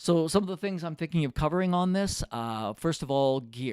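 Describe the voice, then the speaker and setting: A normal speaking voice from a man, with ordinary pitch variation and a moderate pace, in a very clean recording with a silent background and a dry, close sound with no echo. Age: 60s. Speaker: retired professional musician, video creator. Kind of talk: casual monologue to camera. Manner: relaxed, many filler words.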